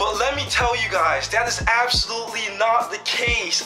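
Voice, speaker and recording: A man talks at a moderate speed. Clear music plays behind him. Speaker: fitness vlogger. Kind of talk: casual vlog chat. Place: home room. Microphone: webcam.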